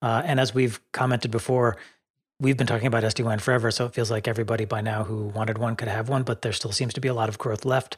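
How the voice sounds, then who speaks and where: At a very fast pace, a man talks at medium pitch with monotone, flat intonation and a somewhat breathy sound, on a very clean recording with a silent background. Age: 50s. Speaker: podcast host. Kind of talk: casual chat.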